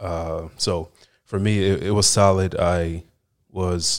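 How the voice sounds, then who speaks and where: In a very clean recording with a silent background, a man talks in a very deep, low pitch with fairly even intonation. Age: 30s. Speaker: podcast host. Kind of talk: casual monologue. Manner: halting, many fillers and repeats.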